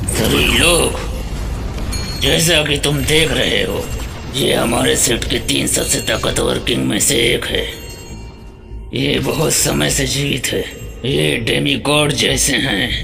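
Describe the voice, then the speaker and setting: A man's put-on character voice at a fairly slow pace amid loud background noise. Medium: fan dub. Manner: authoritative, grave.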